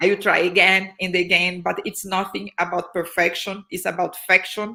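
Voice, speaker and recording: In a Portuguese accent, a woman speaks at a moderate pace with monotone, flat intonation. Her medium-pitched voice has a bright, sharp tone. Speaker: happiness consultant and social entrepreneur. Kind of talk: casual interview. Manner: halting, frequent fillers and repetitions.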